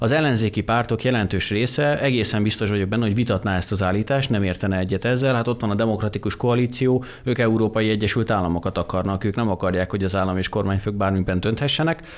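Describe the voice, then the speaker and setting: With hardly any pauses, a man speaks very fast at a medium pitch, keeping his loudness very even and his pitch variation ordinary. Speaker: policy analyst. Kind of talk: radio discussion. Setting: studio.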